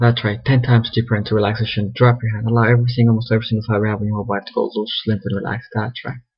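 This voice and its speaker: Talking very fast, a man keeps a medium pitch with monotone, flat intonation. His voice is somewhat breathy. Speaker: hypnotist. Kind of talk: hypnosis induction session. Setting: video call via webcam.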